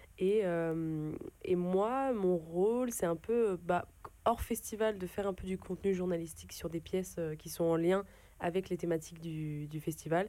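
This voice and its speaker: The speaker uses a normal speaking voice at a fairly slow pace, with ordinary pitch variation. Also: woman, fairly low pitch for a woman. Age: young. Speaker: young reporter. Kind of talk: casual radio chat.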